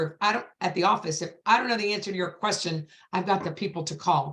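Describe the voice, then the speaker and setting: Very fast and animated, a woman speaks at a medium pitch. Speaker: real estate agent. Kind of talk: panel discussion. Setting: video call.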